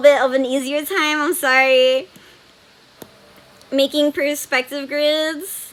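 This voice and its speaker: The voice is raised and projected, moving at a fairly slow pace. Noticeable background noise runs underneath. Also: woman. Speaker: webcomic artist streamer. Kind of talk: live stream tutorial chat. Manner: casual, filler-heavy.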